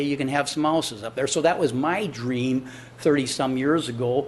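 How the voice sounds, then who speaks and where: A man speaks with an American accent at medium pitch. His pace is fairly quick. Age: 60s. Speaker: business owner addressing city council. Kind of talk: public comment at council meeting. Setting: city council chamber. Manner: conversational, repetitive fillers.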